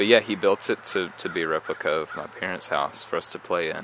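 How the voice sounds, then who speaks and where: Noticeable background noise runs under this recording. A man with an American accent talks at a fairly quick pace. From US South. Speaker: vlogger. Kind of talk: casual storytelling vlog. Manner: hesitant, many fillers.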